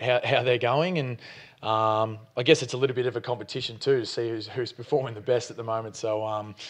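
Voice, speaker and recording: Against a quiet background, a man with an Australian accent talks at a very fast pace and a medium pitch. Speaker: college football punter. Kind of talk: press conference interview answer.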